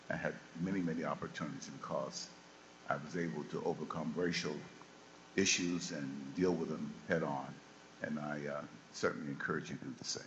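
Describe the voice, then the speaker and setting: In an American accent, a man speaks at a very deep, low pitch with fairly even intonation, long, frequent pauses and audible room echo. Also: fairly quick pace. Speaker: former football player. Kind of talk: panel talk to students. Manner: halting, many fillers.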